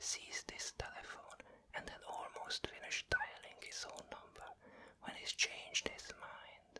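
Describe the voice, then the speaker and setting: Someone whispers at a fairly slow pace, with big swings in loudness. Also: man. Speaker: ASMR whisper narrator. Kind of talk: whispered bedtime story reading of a novel chapter. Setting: binaural microphone, close to the ear. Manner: whispered, soft, slow.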